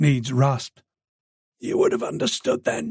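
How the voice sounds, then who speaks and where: A man whispers in a put-on character voice that sounds raspy and strained. His moderate pace is heard with a dry, close sound and no echo. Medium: read story.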